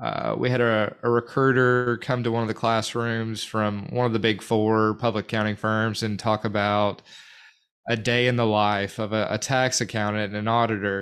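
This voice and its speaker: A man with an Arkansas accent talks at a fairly quick pace, his medium pitch carrying fairly even intonation. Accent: Arkansas Southern US. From Central Arkansas, North Little Rock. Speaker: podcast co-host, recruiter. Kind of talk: casual chat.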